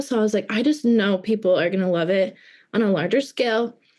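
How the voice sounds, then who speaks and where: A plain, everyday voice at a fairly quick pace. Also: woman. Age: 20s. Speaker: small business owner. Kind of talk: interview. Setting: podcast. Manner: casual, filler-heavy.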